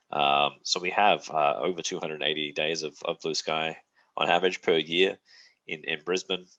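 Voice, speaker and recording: Bright and sharp in tone yet very deep and low in pitch, a man speaks at a moderate pace with flat, monotone intonation. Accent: Australian. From South Australia, Adelaide. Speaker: university representative. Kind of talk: presentation to prospective students. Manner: hesitant with many fillers.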